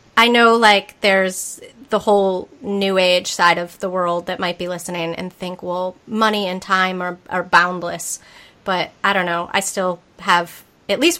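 In a Massachusetts accent, a woman talks at a fairly slow pace with medium pitch and a bright, sharp tone. The recording is very clean, with a silent background. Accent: Massachusetts accent, noticeable. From Massachusetts, US. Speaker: podcast host. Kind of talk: casual interview chat. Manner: upbeat, enthusiastic.

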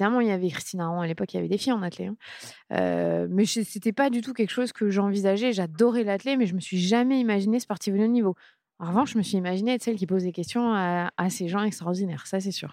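Here a woman speaks at a very fast pace with a dark, mellow tone and medium pitch. Her pitch variation is ordinary, and the recording is very clean, with a silent background. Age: 30s. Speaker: sports journalist. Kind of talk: interview.

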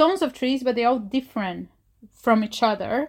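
On a very clean recording with a silent background, the talking proceeds at a fairly slow pace. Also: woman. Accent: Portuguese. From Brazil, Rio de Janeiro. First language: Portuguese. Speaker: environmental scientist. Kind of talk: interview monologue.

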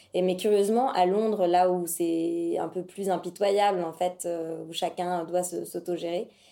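Fairly even intonation carries a dark, mellow tone. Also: woman. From Paris region, France. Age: 30s. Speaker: ceramics studio founder. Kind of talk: interview. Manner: hesitant, many fillers.

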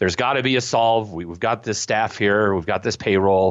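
A man talks at a moderate pace. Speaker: business consultant and author. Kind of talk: radio interview, casual. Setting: phone call.

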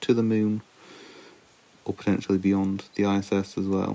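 Spoken at a moderate pace in a British accent, the voice has a dark, mellow tone and flat, monotone intonation, captured in a very clean recording with a silent background. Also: man. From UK. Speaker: podcast co-host, layperson. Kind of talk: casual chat.

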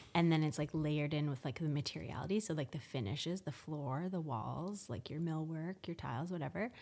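With a Canadian accent, a woman talks in a very deep, low voice. Her pace is fairly quick and her intonation lively. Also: very clean recording, silent background. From Canada, Victoria BC. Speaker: interior designer. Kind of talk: casual interview chat.

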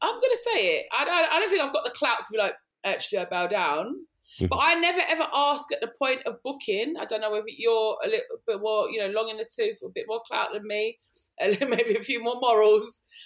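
A woman with an East London accent talks at a fairly quick pace in a high voice, her pitch swinging very widely. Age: 40s. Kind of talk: casual chat.

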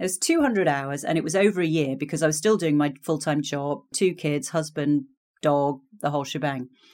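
A woman in an English accent speaks with a very deep, low pitch at a fairly quick pace. The recording is very clean, with a silent background. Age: 50s. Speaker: career coach. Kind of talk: interview.

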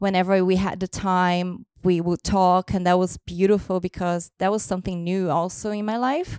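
Recorded very cleanly with a silent background and a dry, close sound free of echo, the speaker uses a Brazilian accent, fairly even intonation and a moderate pace. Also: woman, medium pitch for a woman. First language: Portuguese. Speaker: host's partner. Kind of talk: casual chat.

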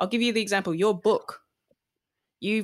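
Heard in a very clean recording with a silent background, a woman with an Australian accent speaks with fairly even intonation. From Melbourne, Australia. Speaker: TV presenter and DJ. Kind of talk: casual interview chat.

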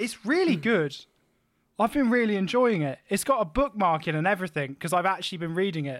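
A man with a British accent speaks in a high-pitched voice with an animated tone and lively intonation. The recording is very clean, with a silent background. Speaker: podcast host. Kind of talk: comedic casual chat.

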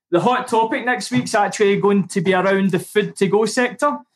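The speaker is a man with a moderate pace. His pitch moves in an ordinary way. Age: 30s. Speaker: podcast co-host, recruiter. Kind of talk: casual chat.

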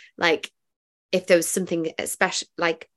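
A woman speaks at a moderate pace with vocal fry. Her intonation is monotone and flat over a quiet background. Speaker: meditation guide and musician. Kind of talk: casual chat. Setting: video call.

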